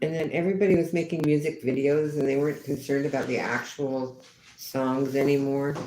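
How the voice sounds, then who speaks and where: Audible room echo and noticeable background noise behind fairly quick speech. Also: woman, very deep, low pitch for a woman. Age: 70s. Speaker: livestreamer chatting with viewers. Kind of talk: casual live stream chat reading comments. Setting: live stream outdoors on a rainy day. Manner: halting, repeats words.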